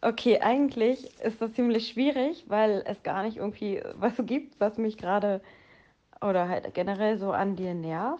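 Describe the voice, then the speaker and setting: Her voice has a dark, mellow tone. The woman speaks at a fairly high pitch. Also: ordinary pitch variation. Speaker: podcast co-host. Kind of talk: casual chat.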